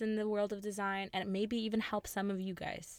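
On a very clean recording with a silent background, a woman talks in an animated tone. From Ukraine, Kyiv. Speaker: industrial designer, podcast co-host. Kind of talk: casual chat. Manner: animated, laughs often.

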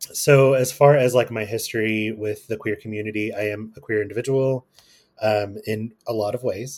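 A somewhat breathy male voice at medium pitch and a moderate pace, on a very clean recording with a silent background. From Kentucky, US. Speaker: guest, astrology and queer topics. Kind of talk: casual interview chat.

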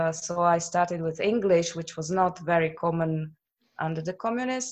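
A woman's fairly low-pitched voice against a quiet background. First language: Slovak. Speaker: translator. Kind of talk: casual interview chat. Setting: video call.

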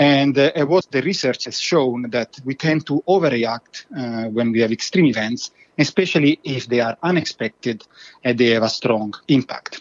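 Speaking at a moderate pace, a man with an Italian accent keeps a medium pitch with ordinary variation. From Italy. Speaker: professor. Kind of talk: interview.

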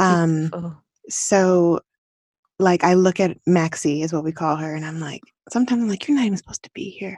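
In a normal speaking voice, a woman with a fairly low pitch talks with ordinary pitch variation and big swings in loudness. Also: dry, close sound with no echo. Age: 30s. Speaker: author and wellness consultant. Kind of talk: casual chat.

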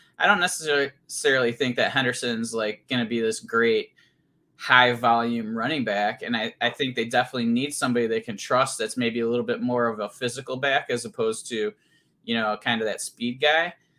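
In a very clean recording with a silent background, a man speaks at a fairly quick pace with a medium pitch, fairly even intonation and a bright, sharp tone. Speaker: fantasy football podcast co-host. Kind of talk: casual chat.

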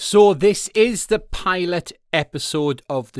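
A man with a Welsh accent, in a very clean recording with a silent background and a dry, close sound with no echo. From Wales. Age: 30s. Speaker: podcast host. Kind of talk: solo podcast monologue. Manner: casual, with frequent fillers.

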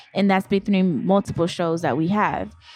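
Music runs in the background as a woman speaks at a fairly quick pace and medium pitch, with ordinary pitch variation and a dry, close sound with no echo. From Haitian family. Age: 20s. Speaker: music marketing professional. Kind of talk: casual chat.

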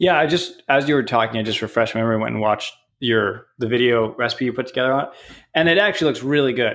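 This man speaks at a very fast pace with ordinary pitch variation. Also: medium pitch for a man. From Canada. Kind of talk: casual chat.

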